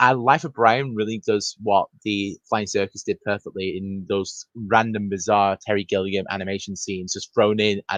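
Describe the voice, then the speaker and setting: This man speaks with a British accent, his pitch fairly low and his intonation fairly even. He keeps a moderate pace with hardly any pauses, in a dry, close sound with no echo. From Britain. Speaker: film podcast guest. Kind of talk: casual chat.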